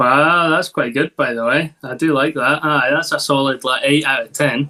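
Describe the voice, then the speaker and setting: Using a Scottish accent, a man talks at a moderate pace in a fairly high, bright, sharp voice with fairly even intonation. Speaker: local sports journalist. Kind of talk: interview.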